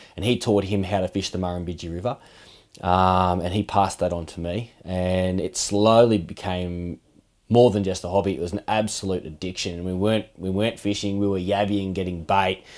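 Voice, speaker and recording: Very deep and low, a man's voice carries an Australian accent at a moderate pace. His intonation is fairly even, and the recording is very clean with a silent background. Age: 30s. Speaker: fishing podcast co-host, angler. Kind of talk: casual interview chat.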